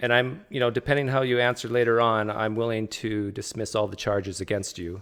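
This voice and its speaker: With a normal speaking voice, a man talks at a fairly quick pace with hardly any pauses, medium pitch and fairly even intonation, in a very clean recording against a silent background. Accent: Canadian. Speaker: livestream host, atheist. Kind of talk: casual interview.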